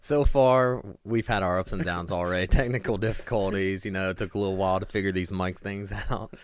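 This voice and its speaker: Fairly quick and with hardly any pauses, a man with an American accent speaks at a fairly low pitch with fairly even intonation. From Northeast Ohio. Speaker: podcast co-host. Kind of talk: casual chat.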